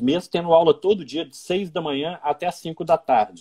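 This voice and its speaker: The man's voice is fairly high and has a dark, mellow tone. He talks at a moderate pace. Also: dry, close sound with no echo. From Minas Gerais, Brazil (Belo Horizonte). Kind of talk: interview in a live stream. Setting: Instagram live video call.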